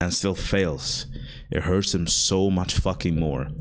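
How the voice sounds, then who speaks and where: Vocal fry with ordinary pitch variation. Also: man. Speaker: content creator vlogger. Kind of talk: casual monologue vlog. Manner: fast; rambling, hesitant with fillers.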